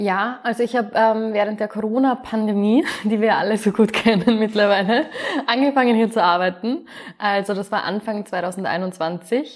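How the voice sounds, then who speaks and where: A woman has an ordinary speaking voice, fairly high in pitch with ordinary pitch variation. She talks at a moderate pace. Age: 20s. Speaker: project manager. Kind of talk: interview.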